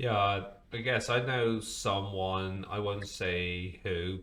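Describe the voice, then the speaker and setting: Audible room echo surrounds a man speaking at a fairly low pitch with a British accent. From Britain. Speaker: podcast host. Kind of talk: podcast interview.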